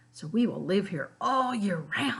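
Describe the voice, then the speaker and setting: Using a put-on character voice, a woman growls at medium pitch with lively intonation and a fairly slow pace. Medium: read story.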